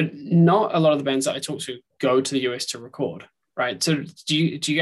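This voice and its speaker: There is vocal fry in this man's voice, and he speaks with a New Zealand accent. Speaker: podcast host. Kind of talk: casual interview chat.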